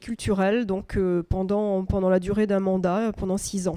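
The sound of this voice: The speaker is a woman with a dark, mellow tone. She keeps a moderate pace.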